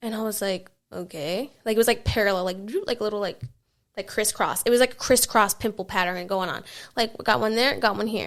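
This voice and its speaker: The recording is very clean with a silent background. The speaker talks at a fairly quick pace with vocal fry and ordinary pitch variation. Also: woman, fairly high pitch for a woman. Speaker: podcast host. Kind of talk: casual solo podcast talk. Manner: halting, many fillers.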